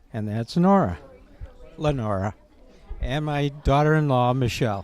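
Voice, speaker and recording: Over crowd noise in the background, a man at medium pitch speaks at a moderate pace with lively intonation. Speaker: Vietnam veteran. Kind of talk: interview. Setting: Veterans Day breakfast event.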